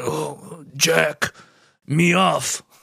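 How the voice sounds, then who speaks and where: Using a raspy, put-on character voice, a man speaks at a fairly high pitch. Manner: grunting, primitive, broken speech.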